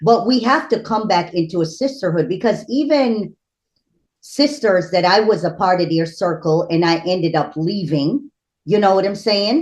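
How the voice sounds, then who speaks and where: An unremarkable speaking voice from a woman, medium in pitch with lively intonation, very even loudness and a moderate pace. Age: 50s. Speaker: spiritual priestess. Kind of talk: casual interview conversation.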